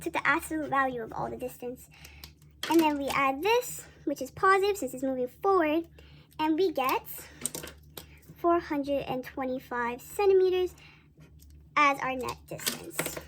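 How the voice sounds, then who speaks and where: A woman speaks at a high pitch and moderate pace with lively intonation and long, frequent pauses. Noticeable background noise is present. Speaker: student presenting math problems. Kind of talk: tutorial. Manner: halting with self-corrections; casual.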